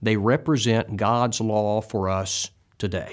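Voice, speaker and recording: The voice belongs to a man. The background is quiet. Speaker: bible teacher. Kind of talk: lecture. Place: studio. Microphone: lapel.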